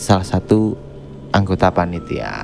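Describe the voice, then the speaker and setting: Background music accompanies a male speaker. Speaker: podcast host. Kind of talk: horror story reading on a podcast. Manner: casual, joking.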